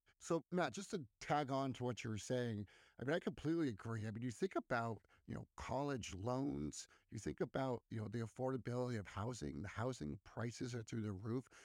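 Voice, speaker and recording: A man with an ordinary speaking voice at medium pitch, lively intonation and a fairly quick pace, in a dry, close sound with no echo on a very clean recording with a silent background. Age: 30s. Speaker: podcast co-host. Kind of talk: casual chat.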